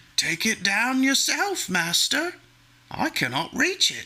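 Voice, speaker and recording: A man uses a put-on character voice at an extremely high pitch, speaking at a fairly slow pace. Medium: read story. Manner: sly, ingratiating.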